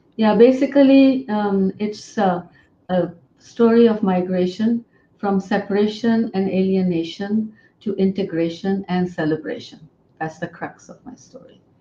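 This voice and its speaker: A woman with a medium-pitched, somewhat breathy voice and a dark, mellow tone speaks at a fairly slow pace, with ordinary pitch variation and big swings in loudness. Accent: Pakistani. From Pakistan. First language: Urdu. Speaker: author and poet. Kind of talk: interview.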